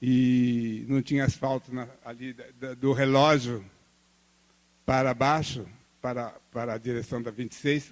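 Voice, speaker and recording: Speaking very slowly, a man talks at a medium pitch. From Brazil, Campo Grande, Mato Grosso do Sul. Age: 70s. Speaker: visual artist. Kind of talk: lecture. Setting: art studio with live audience. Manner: conversational, storytelling.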